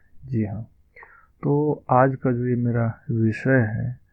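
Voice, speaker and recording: A man speaks at a medium pitch with fairly even intonation. He has a plain, everyday voice. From Madhubani, Bihar, India. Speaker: language teacher. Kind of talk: language lesson talk.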